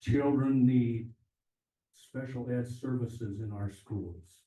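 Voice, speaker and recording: A man's dark, mellow, somewhat breathy voice with fairly even intonation, in a room with audible echo. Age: old. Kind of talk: public comment speech. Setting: town hall meeting with audience.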